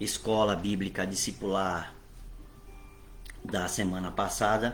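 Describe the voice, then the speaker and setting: Music plays in the background, and the room echo is audible. A man speaks very slowly in a fairly low voice, with long, frequent pauses. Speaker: bishop and Bible teacher. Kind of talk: online Bible class. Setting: online livestream.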